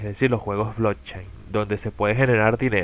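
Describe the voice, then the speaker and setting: A man speaks with a Caracas accent. His pace is moderate and his pitch variation ordinary. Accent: Venezuelan Spanish (Caracas). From Venezuela, outskirts of Caracas. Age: 20s. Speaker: gaming content creator. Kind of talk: self-introduction video. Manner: hesitant, with fillers.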